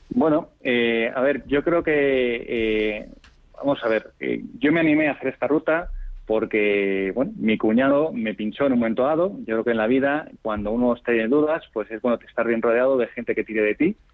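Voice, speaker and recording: This man's delivery moves at a moderate pace, his pitch varying in an ordinary way. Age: 40s. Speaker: amateur cyclist. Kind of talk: interview. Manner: halting.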